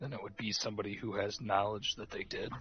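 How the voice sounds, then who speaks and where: Raspy, very fast put-on character voice from a man, fairly low in pitch. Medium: actual play.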